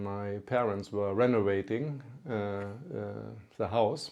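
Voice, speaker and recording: Very slow pace from a man with a German accent, a fairly low pitch, ordinary pitch variation, and a dark, mellow tone. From northern Germany (Lübeck). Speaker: company CEO. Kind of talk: interview storytelling. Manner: halting, with fillers.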